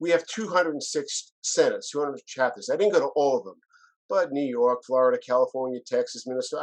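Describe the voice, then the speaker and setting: A man talks at a fairly quick pace with ordinary pitch variation. It is an unremarkable speaking voice. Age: 60s. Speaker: lawyer and business consultant. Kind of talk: interview conversation.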